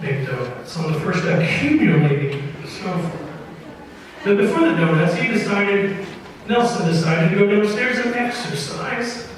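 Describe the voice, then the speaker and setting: A man speaks in a high pitch, his intonation lively, while noticeable background noise fills the recording. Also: moderate pace. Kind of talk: live radio storytelling, tall tale read to an audience. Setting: live performance in front of an audience in an opera house.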